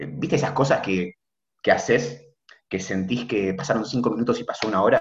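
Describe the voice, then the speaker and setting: Vocal fry marks this man's voice. He talks at a fairly quick pace with lively intonation. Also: medium pitch for a man. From Argentina, Buenos Aires. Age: 20s. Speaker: medical student. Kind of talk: casual chat.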